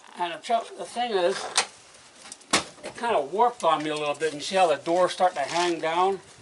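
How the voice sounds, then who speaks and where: Amid noticeable background noise, a high-pitched man with an American accent talks at a moderate pace, pausing long and often. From Maine, USA. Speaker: potter, war veteran. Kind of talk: casual on-site demonstration talk. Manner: colorful, easygoing.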